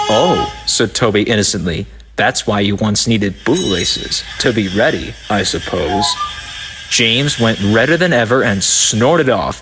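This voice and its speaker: A man's lively intonation at a moderate pace and very even loudness, with noticeable background noise. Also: fairly low pitch for a man. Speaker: fan dub narrator. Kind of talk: children's story narration with character voices. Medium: dub.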